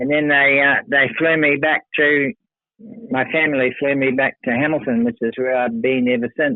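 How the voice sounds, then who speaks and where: In a New Zealand accent, a man speaks at a moderate pace. His pitch is fairly high and his intonation fairly even. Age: 70s. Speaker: retired rock organist and songwriter. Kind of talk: interview. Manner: halting.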